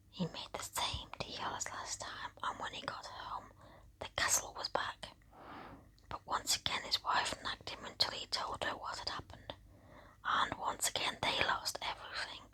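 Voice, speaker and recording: Over noticeable background noise comes whispering broken by long, frequent pauses. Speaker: ASMR creator. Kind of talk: bedtime story reading. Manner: whispered; slow, soft-spoken.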